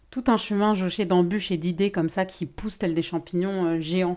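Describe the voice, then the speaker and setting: On a very clean recording with a silent background, a woman speaks fairly slowly at a medium pitch with ordinary pitch variation. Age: 40s. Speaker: podcast host and holistic therapist. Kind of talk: casual solo monologue. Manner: casual, conversational.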